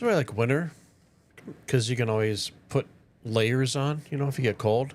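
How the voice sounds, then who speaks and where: Speaking with a Minnesotan accent, a man has a relaxed tone, a fairly quick pace and ordinary pitch variation. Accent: Minnesota. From northern Minnesota. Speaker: gaming streamer. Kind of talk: casual gameplay commentary with tutorial.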